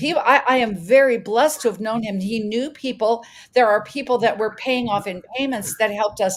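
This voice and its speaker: A fairly quick, animated woman's voice with fairly high pitch and ordinary pitch variation. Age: 60s. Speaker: health coach, homeowner affected by insurance crisis. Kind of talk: testimony at a town hall. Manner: halting, with repetitions.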